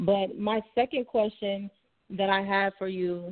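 This woman has an unremarkable speaking voice with a medium pitch and an American accent. Her intonation stays fairly even. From Florida. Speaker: caller. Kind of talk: call-in question. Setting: phone call.

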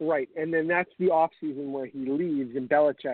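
This man has an American accent and a fairly high pitch, speaking at a moderate pace with ordinary pitch variation. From New York, Long Island. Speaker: sports podcast co-host. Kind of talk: casual chat. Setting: online radio stream. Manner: a bit quiet.

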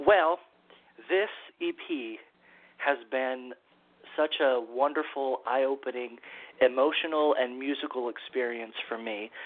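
Fairly slow delivery in an American accent, with long, frequent pauses and ordinary pitch variation. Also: man, medium pitch for a man. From California, San Diego. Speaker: singer-songwriter. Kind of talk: interview.

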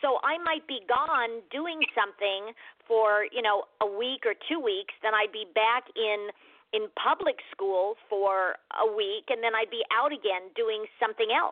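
A woman with an American accent and a normal speaking voice talks at a fairly slow pace with ordinary pitch variation. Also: fairly high pitch for a woman. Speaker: actress. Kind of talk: casual interview chat. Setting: radio interview.

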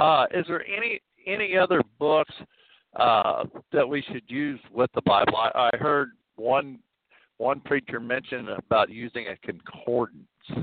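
Speaking at a fairly slow pace, a man uses an ordinary speaking voice, fairly high in pitch, with lively intonation. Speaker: caller. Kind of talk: questions to a pastor. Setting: phone call.

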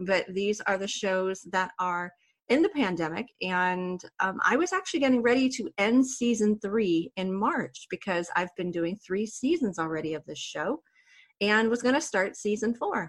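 A woman with a normal speaking voice talks at medium pitch and a moderate pace with lively intonation. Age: 40s. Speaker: wellness podcast host. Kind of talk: interview.

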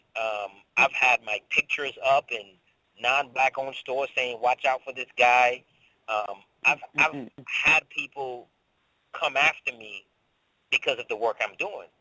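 The speaker is a man with a fairly slow pace. Long pauses come often. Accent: slight Caribbean. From Saint Thomas, US Virgin Islands. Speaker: business professor and entrepreneur. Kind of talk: interview. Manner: halting.

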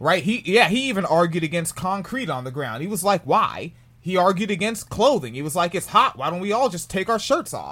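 A man speaks at a fairly quick pace in a high voice with lively intonation. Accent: American. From US, New Jersey. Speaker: podcast host. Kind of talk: casual commentary on a news article. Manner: casual, profane.

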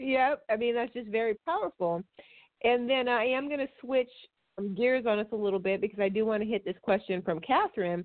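A woman speaks in a plain, everyday voice at a fairly high pitch. Her pace is fairly quick, with ordinary pitch variation. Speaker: podcast host. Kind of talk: casual chat.

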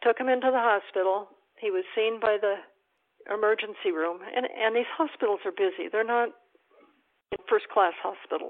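A woman with an American accent at a moderate pace, with ordinary pitch variation and long, frequent pauses. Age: 60s. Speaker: expat. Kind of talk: casual interview.

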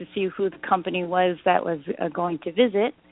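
This woman has an ordinary speaking voice and a Canadian accent. Her pitch sits in the medium range. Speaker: actress. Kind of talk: interview. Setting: remote call.

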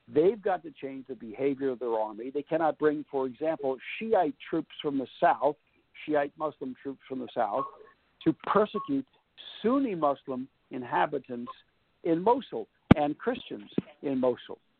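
This man's fairly high voice moves with lively intonation at a moderate pace, broken by long, frequent pauses. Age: 60s. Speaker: foreign policy author and former journalist. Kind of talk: radio interview. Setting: phone call.

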